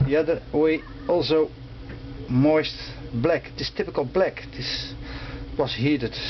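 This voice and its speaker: Over noticeable background noise, a man with a non-native accent talks at a fairly slow pace, leaving long, frequent pauses. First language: not English. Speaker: motorcycle restorer. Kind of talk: tutorial. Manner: halting.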